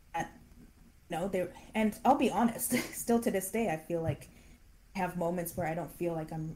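Speaking at a moderate pace with long, frequent pauses, a woman has a fairly low pitch, a dark, mellow tone and ordinary pitch variation. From Canada. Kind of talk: interview.

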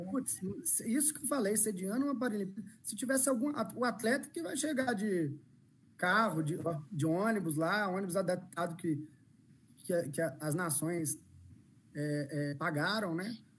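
A man at a high pitch with very wide pitch swings, fairly slow, with long, frequent pauses. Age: 30s. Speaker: inclusion consultant and speaker. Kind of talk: live-stream interview. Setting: video call.

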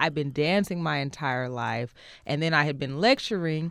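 A woman with an American accent and a very deep, low voice talks at a moderate pace on a very clean recording with a silent background. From Oakland, California. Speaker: singer-songwriter and dancer. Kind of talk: casual interview. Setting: studio.

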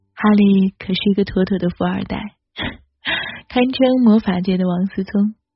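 A woman with a medium pitch and a somewhat breathy voice speaks at a moderate pace. Her intonation stays fairly even, broken by long, frequent pauses. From mainland China. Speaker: podcast host. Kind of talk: solo podcast monologue.

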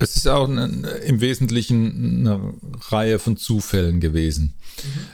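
A medium-pitched man at a fairly slow pace, with very wide pitch swings and noticeable background noise. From Mannheim, southwest Germany. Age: 50s. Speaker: music school director. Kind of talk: casual interview. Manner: halting, with repetitions.

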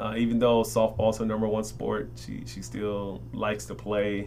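With an American accent, a man speaks at fairly low pitch and a moderate pace, with fairly even intonation. Audible room echo surrounds his voice. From Chicago, South Side. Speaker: college basketball coach. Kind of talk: casual interview.

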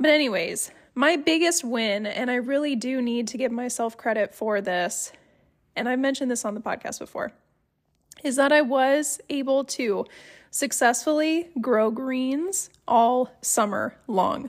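A woman speaks at a fairly slow pace in a high pitch, with ordinary pitch variation. The recording is very clean, with a silent background. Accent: Midwestern. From Ohio, US. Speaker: homesteading podcaster. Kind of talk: solo podcast monologue, casual. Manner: conversational, friendly.

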